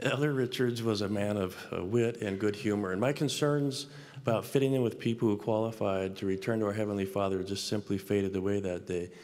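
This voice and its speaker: A man with an American accent speaks at a fairly low pitch with ordinary pitch variation. His pace is fairly quick, with hardly any pauses. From US Pacific Northwest. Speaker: business school professor and dean; university professor speaker. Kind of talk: devotional address. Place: hall. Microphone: podium.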